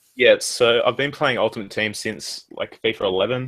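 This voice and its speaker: A man speaks with an Australian accent. The sound is dry and close, with no echo. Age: 20s. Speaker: gaming YouTuber. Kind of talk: casual chat.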